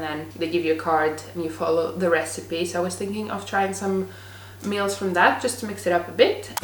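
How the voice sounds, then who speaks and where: Her fairly low voice carries audible room echo, with noticeable noise in the background. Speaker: lifestyle vlogger. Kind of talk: vlog talking to camera.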